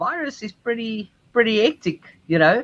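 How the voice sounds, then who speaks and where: A man speaks with a South African accent. His pace is moderate. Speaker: cruise ship musician. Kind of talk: interview.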